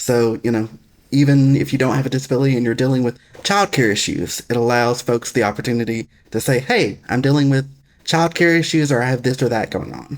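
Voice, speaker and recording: A man with a Southern US accent talks at a fairly quick pace, his medium pitch showing ordinary variation. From US South, Alabama. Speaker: foundation executive director. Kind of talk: interview. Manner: occasional pauses to get words out.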